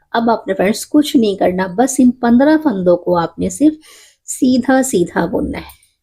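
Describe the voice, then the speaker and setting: This woman's fairly high voice carries a dark, mellow tone and lively intonation. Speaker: knitting instructor. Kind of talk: tutorial. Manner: slow, counting stitches aloud.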